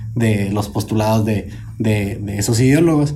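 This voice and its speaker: In a room with audible echo, a man speaks in a somewhat breathy voice with ordinary pitch variation. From northern Mexico. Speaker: podcast host. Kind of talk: casual panel discussion.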